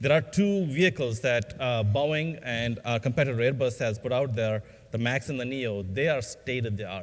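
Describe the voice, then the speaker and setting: A man at medium pitch with ordinary pitch variation. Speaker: aerospace industry executive. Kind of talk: conference panel talk. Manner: fast; halting.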